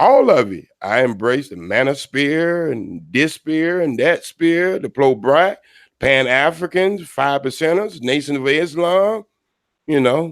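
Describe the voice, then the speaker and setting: A man speaks at a very slow pace with a fairly high pitch and lively intonation. The recording is very clean, with a silent background. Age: 60s. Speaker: caller. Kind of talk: casual chat. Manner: non-standard diction.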